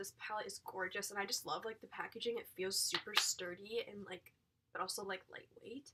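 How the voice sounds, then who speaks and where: A woman talks with a fairly high pitch. Her intonation stays fairly even. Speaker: beauty vlogger. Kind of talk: casual product review vlog. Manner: fast.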